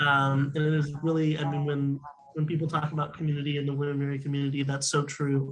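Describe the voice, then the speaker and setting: A man talks at a very fast pace in a monotone, flat intonation. His voice is fairly high-pitched and somewhat breathy. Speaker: university student. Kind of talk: panel discussion. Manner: hesitant, many fillers.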